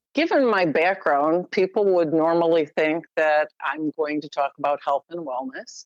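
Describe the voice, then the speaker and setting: A woman with a normal speaking voice talks at a fairly slow pace, her pitch fairly low with ordinary variation. The sound is dry and close, with no echo. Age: 60s. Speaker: health coach. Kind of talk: interview chat.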